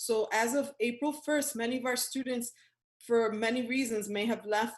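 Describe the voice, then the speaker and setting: Speaking in a Spanish accent, a woman uses a high pitch with ordinary pitch variation. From New York City. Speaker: professor. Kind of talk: presentation.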